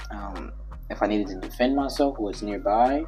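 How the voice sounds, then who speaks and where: A man speaks quietly in a room with audible echo and music in the background. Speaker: YouTuber. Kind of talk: casual chat. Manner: soft-spoken.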